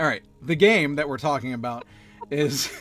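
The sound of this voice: Music plays behind a man speaking at a medium pitch with ordinary pitch variation.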